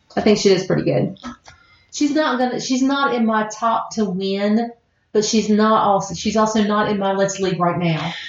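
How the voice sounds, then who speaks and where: Over music in the background, a woman with an American accent speaks at a fairly high pitch and very even loudness. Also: ordinary pitch variation, moderate pace. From US South, southern West Virginia. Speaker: podcast host. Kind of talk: casual chat.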